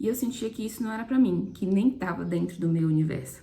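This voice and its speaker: There is noticeable background noise. A woman speaks at a fairly quick pace. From Brazil, southern Bahia. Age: 20s. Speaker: medical student and content creator. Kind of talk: personal testimony.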